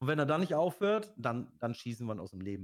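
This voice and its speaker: A man with an ordinary speaking voice, medium pitch, lively intonation and a fairly quick pace. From Lower Saxony, Osnabrück. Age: 40s. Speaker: streamer. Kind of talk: casual interview.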